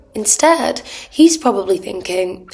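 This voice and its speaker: Her intonation lively and her pitch medium, a woman speaks over noticeable background noise. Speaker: dating and feminine energy coach. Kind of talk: casual talk to camera.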